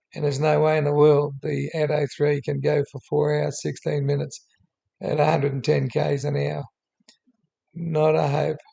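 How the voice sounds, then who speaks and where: A man with an Australian accent at a moderate pace. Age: 70s. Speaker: YouTuber. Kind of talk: unscripted narration over screen. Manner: halting with many fillers.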